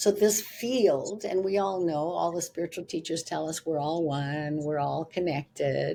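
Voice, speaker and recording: A woman speaks with a dark, mellow tone. Her loudness rises and falls in big swings. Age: 70s. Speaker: spiritual teacher and author. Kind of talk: interview. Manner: halting.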